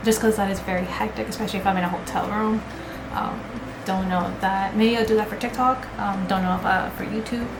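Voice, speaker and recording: In a Spanish accent, a woman speaks fairly quickly with monotone, flat intonation. Audible room echo and noticeable background noise fill the recording. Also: medium pitch for a woman. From US, Mexican-American family. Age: 20s. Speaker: beauty and cosplay vlogger. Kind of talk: casual chat. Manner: hesitant, many fillers.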